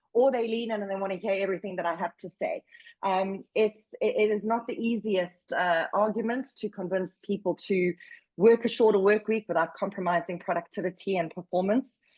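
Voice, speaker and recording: With a South African accent, a woman speaks at a medium pitch and a fairly quick pace. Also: fairly even intonation, dry, close sound with no echo. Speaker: workplace wellbeing advocate. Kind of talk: webinar presentation. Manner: loud, projecting.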